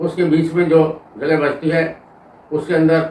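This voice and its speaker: The speaker is a man. His pitch is fairly high. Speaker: farmer and Ayurvedic plant educator. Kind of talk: informative talk to camera about farming.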